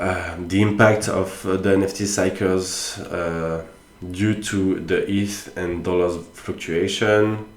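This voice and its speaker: In a room with audible echo, a man talks very slowly in a very deep, low, monotone voice with flat intonation. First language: not English. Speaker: NFT commentator. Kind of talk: casual solo commentary. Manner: halting, many fillers.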